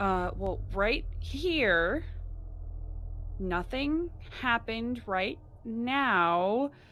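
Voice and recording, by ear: A put-on character voice with a fairly bright tone and lively intonation, delivered at a very slow pace. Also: woman, fairly high pitch for a woman.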